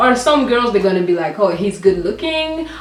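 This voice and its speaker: A woman speaks at a moderate pace with very wide pitch swings. Audible room echo and noticeable background noise are present. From Rwanda. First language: French. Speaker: YouTuber. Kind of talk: casual chat.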